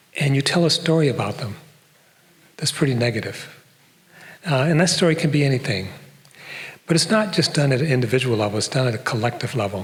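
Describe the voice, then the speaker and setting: In a North American accent, a man talks at a fairly quick pace and a medium pitch with lively intonation, with audible room echo around him. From US Midwest, Detroit. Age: old. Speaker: professor. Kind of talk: public lecture. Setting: stage with audience.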